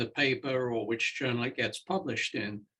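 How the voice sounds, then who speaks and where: In a British accent, a man speaks at a fairly slow pace. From Britain. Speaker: senior scientist and mentor. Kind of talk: panel discussion.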